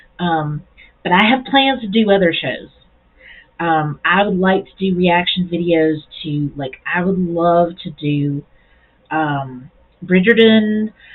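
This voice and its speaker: Her fairly low pitch for a woman carries ordinary pitch variation. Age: middle-aged. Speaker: YouTube reaction video creator. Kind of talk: casual vlog talk. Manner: slow, halting with repetitions; rambling, restarts sentences.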